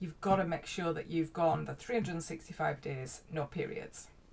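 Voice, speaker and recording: The voice carries a Yorkshire accent. It sounds somewhat breathy. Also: woman. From Yorkshire, northern England. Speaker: life coach. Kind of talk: casual vlog talk. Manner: hesitant, many fillers.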